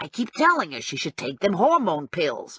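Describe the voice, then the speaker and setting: A put-on character voice growls at a middle pitch. It moves at a moderate pace. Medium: read story. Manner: chatty, blunt.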